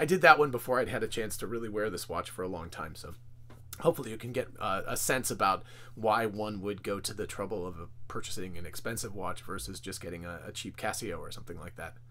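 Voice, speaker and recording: Bright and sharp in tone, a man with a fairly low pitch talks at a very fast pace, his loudness swinging widely while his pitch varies in an ordinary way. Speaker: watch reviewer. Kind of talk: casual product review talk. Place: home room. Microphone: phone near.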